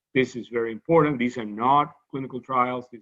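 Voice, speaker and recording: A man with a Cuban accent speaks at a moderate pace in a medium pitch, his pitch varying in an ordinary way. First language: Spanish. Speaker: medical scientist. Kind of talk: lecture. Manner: halting, with frequent repetitions.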